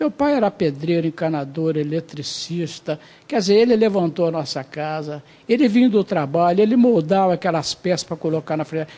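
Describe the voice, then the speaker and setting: A man's high-pitched, dark, mellow voice at a moderate pace with ordinary pitch variation. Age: 60s. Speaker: city councillor, retired army officer. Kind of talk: TV interview.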